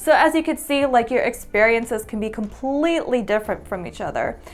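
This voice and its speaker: A woman talks at a fairly quick pace with ordinary pitch variation. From US South, born in Ukraine. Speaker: vlogger and English teacher. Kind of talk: reading prepared answers to camera.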